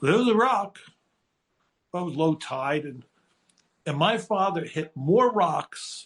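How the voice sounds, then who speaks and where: He is a man speaking with an American accent. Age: 60s. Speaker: screenwriter. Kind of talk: casual chat. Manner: animated.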